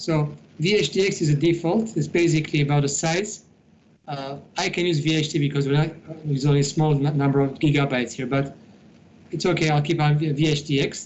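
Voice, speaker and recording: Somewhat breathy and fairly high-pitched, a man talks at a fairly quick pace with fairly even intonation. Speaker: IT instructor. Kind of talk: tutorial.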